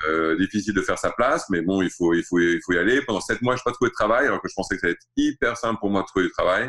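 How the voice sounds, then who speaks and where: Hardly any pauses break the very fast pace of this man's speech. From Saudi Arabia (Riyadh), French-born in Alsace. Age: 40s. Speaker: watch brand founder. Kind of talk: interview. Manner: halting.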